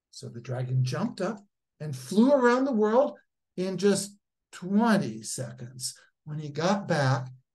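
Over quiet surroundings, a reading voice sounds natural.

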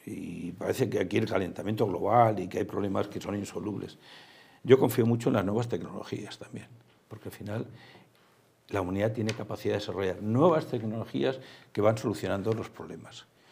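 Talking at a fairly quick pace, a man uses a fairly low, somewhat breathy voice with ordinary pitch variation and big swings in loudness. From Spain. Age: 70s. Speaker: theme park executive; guest. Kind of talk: interview. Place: studio. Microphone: lapel.

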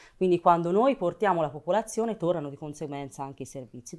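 Over a quiet background, a woman with a fairly low pitch talks at a very fast pace with lively intonation. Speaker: politician. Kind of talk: political talk show debate. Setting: studio. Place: studio. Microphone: lapel.

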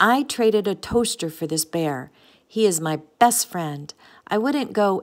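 Natural voice for reading aloud

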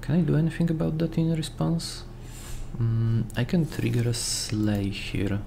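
There is noticeable background noise. A man speaks with very wide pitch swings. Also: medium pitch for a man, fairly slow pace, very even loudness. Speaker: gaming YouTuber. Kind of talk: gameplay commentary. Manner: casual, relaxed.

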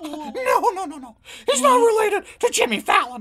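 A man performs a cartoonish character voice. His pitch is extremely high. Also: moderate pace. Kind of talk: puppet comedy sketch dialogue. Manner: impatient, brash.

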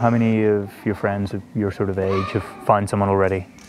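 Over noticeable background noise, a man talks fairly quickly at a fairly low pitch in a monotone, flat intonation. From Northern Ireland. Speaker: TV presenter. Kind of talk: documentary presenting.

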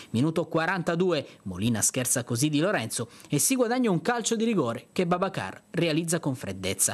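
The voice carries a dramatic tone and very wide pitch swings at a moderate pace. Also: man. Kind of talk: sports news voiceover; match highlights narration. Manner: formal, brisk, dramatic narration with ironic touches.

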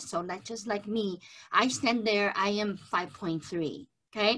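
A woman's bright, sharp tone at a very slow pace, with ordinary pitch variation. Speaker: presenter. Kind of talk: webinar lecture. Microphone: webcam.

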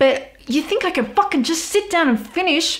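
At a moderate pace, a woman speaks with an Australian accent. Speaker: goth model and small business owner. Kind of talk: casual podcast talk. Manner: casual, chatty, swears often. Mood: candid, some swearing. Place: home room.

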